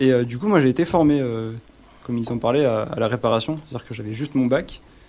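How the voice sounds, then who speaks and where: A man's medium-pitched voice, with ordinary pitch variation, moves along at a fairly quick pace. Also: long, frequent pauses. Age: 20s. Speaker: phone repair technician. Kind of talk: radio interview.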